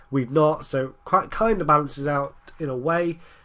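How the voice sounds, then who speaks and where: This man's voice sits fairly high for a man, and his intonation stays fairly even. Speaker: gaming commentator. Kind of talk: gameplay commentary. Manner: casual, rambling.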